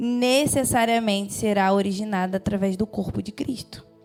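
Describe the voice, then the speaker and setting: Noticeable background noise sits behind a woman's voice. She speaks at a moderate pace with a fairly high pitch. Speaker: preacher. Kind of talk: sermon.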